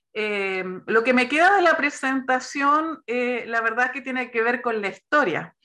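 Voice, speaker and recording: Her tone is bright and sharp, and a woman's high pitch carries lively intonation. She talks at a fairly slow pace. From Chile. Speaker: pastor and theology teacher. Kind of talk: online lecture.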